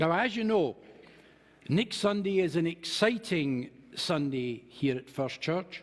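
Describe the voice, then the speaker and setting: A man with a Scottish accent talks at a fairly slow pace. His voice sits high and his intonation is lively. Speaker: minister. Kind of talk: sermon.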